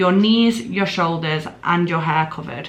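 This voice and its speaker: A woman with a Mancunian accent talks at a moderate pace with lively intonation. Noticeable background noise and audible room echo fill the recording. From northern England, Greater Manchester. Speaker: travel vlogger. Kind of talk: casual chat.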